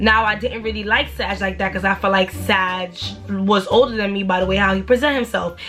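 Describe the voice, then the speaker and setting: A woman's fairly quick speech with fairly even intonation, music in the background. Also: medium pitch for a woman. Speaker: YouTuber telling a story. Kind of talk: storytime monologue. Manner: fast.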